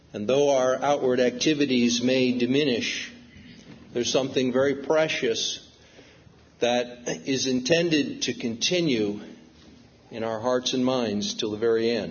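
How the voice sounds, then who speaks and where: A man speaks at a medium pitch with long, frequent pauses. Audible room echo fills the recording. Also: ordinary pitch variation, fairly slow pace. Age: 60s. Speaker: preacher. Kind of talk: sermon.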